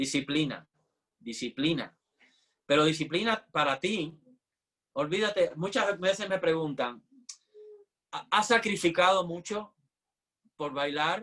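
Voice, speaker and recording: A bright, sharp tone at a very slow pace, with ordinary pitch variation and long, frequent pauses. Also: man, high pitch for a man. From Cuba (Havana). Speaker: ballet dancer and teacher. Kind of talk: interview.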